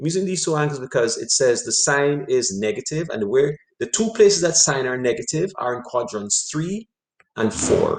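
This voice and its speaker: Speaking at a fairly high pitch, a man's voice moves through very wide pitch swings. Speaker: math teacher. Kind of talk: online class lecture. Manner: fast.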